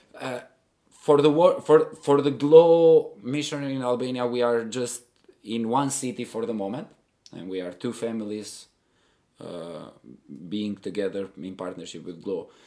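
A man with a dark, mellow tone talks fairly slowly at a medium pitch. His intonation is lively, and his loudness swings a lot. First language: Albanian. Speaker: missionary. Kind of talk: interview. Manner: halting, many repetitions.

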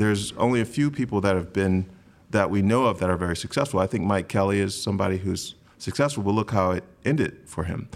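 With an American accent, a man with an unremarkable speaking voice talks at a fairly quick pace and fairly low pitch, his pitch variation ordinary. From US Midwest, Grand Rapids, Michigan. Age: 40s. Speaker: art critic and poet. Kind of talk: live panel discussion. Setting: stage with audience.

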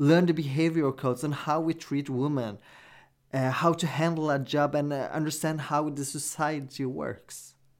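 A man speaks with a Norwegian accent at a fairly slow pace. His pitch is fairly high, and the recording is very clean with a silent background. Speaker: podcast host. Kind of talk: solo commentary podcast.

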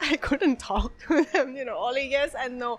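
A woman with a Thai accent speaks at a fairly slow pace in a high voice. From Bangkok, Thailand. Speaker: business owner and pianist. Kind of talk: casual interview chat.

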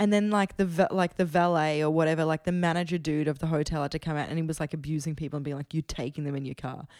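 A woman with an Australian accent and a very deep, low pitch speaks very fast with hardly any pauses and fairly even intonation, on a very clean, silent recording that is dry and close with no echo. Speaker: musician. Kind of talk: casual chat. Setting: at home.

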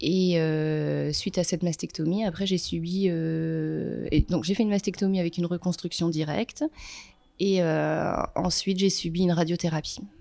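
The loudness stays very even throughout. The recording is very clean, with a silent background. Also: woman, moderate pace. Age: 30s. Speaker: breast cancer survivor. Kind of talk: testimony. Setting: photo shoot.

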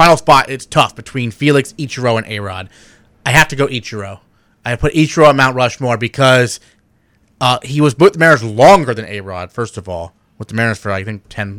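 With a plain, everyday voice, a man with an American accent speaks at a fairly quick pace and medium pitch, his intonation lively, on a very clean recording with a silent background. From Seattle, US. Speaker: sports radio host. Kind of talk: casual sports talk radio. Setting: studio.

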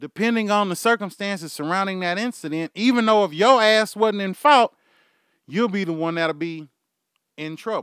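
A man with a Texan accent speaks in an animated tone at a moderate pace, his high pitch showing ordinary variation. The sound is dry and close with no echo, in a very clean recording over a silent background. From Houston, Texas. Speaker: podcast host. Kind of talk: casual rant monologue. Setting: studio, live stream.

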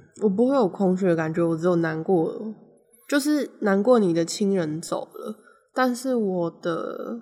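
A woman speaks in a dark, mellow tone. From Taiwan, Taipei. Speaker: podcast co-host. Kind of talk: casual chat.

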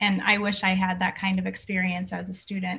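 A woman talks at a moderate pace with an American accent. Noticeable background noise runs underneath. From Boston, US. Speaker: podcast host, wellness educator. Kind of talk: interview. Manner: animated.

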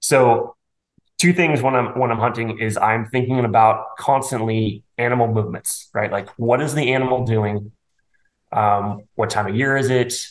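A man with an ordinary speaking voice, medium in pitch, at a moderate pace and with fairly even intonation. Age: 40s. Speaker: bowhunter and financial advisor. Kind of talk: casual interview chat.

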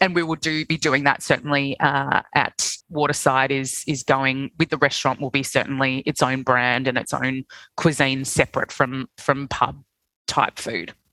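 A woman with an Australian accent speaks in a very deep, low pitch with a bright, sharp tone. Her pace is moderate and her intonation fairly even. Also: dry, close sound with no echo. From Australia, Sydney. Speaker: hospitality group CEO. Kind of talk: casual interview.

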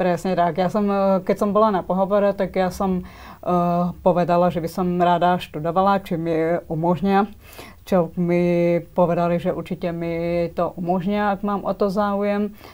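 The recording is very clean, and nothing can be heard in the background. Her intonation stays monotone and flat. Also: fairly slow pace. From Slovakia, Svidník (eastern Slovakia). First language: Slovak (speaking Czech). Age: young. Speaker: dental hygienist. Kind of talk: interview. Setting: studio. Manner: halting.

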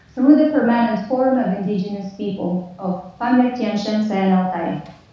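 The speaker is a woman. Background noise is noticeable throughout. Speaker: peacebuilding practitioner. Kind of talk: lecture. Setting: video call.

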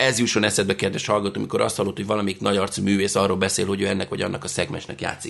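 Over noticeable background noise, a man with a fairly low pitch speaks in an animated tone. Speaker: podcast host. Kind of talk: casual chat.

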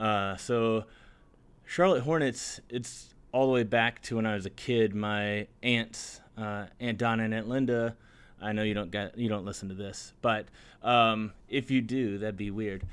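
This man has an ordinary speaking voice, medium in pitch, with fairly even intonation at a fairly slow pace. The recording is very clean, with a silent background. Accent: American. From US South. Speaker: music podcaster. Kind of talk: casual chat.

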